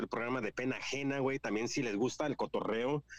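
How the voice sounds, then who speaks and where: The recording is dry and close with no echo as a man talks fairly quickly at a medium pitch. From California, Mexican-American (parents from Guanajuato). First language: English-dominant heritage Spanish speaker (speaking Spanish). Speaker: podcaster. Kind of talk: casual chat.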